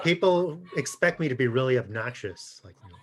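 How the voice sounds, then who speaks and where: With lively intonation and big swings in loudness, a somewhat breathy, medium-pitched man speaks at a fairly quick pace. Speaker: podcast guest, author.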